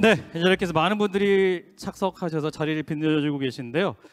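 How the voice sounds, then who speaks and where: There is a quiet background. Against it, a man talks with lively intonation. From South Korea. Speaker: announcer, event emcee. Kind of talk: ceremony hosting. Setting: conference hall with audience. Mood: polite, formal, welcoming. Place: hall. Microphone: handheld.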